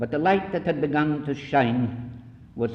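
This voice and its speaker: Vocal fry runs through a man's medium-pitched voice. He goes at a very slow pace with very wide pitch swings. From Scotland. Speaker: missionary. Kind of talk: lecture.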